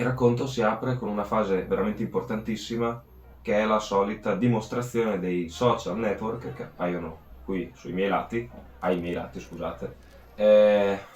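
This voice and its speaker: A man's fairly low voice at a moderate pace, ordinary pitch variation, and audible room echo. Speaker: amateur kart racer and video creator. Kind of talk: vlog narration.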